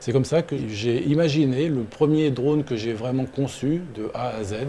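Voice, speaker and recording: A man has a normal speaking voice at a medium pitch. His pace is fairly slow, with ordinary pitch variation. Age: 60s. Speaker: engineer and drone builder. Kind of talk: interview testimony.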